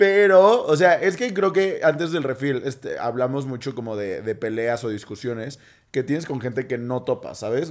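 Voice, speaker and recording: A man speaks with a Mexican accent, at a moderate pace and with lively intonation. The recording is very clean, with a silent background. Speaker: podcast co-host. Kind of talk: casual chat.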